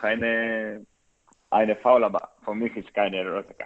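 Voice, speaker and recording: Speaking at a fairly slow pace, a man with a fairly low pitch talks in a Greek accent. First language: Greek (speaking German). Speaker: professional footballer. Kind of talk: interview. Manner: halting, many hesitations.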